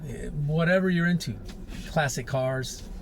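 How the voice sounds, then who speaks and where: A man talks at a moderate speed, his voice carrying audible room echo. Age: 60s. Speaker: life advice vlogger. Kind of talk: casual monologue. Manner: casual, conversational.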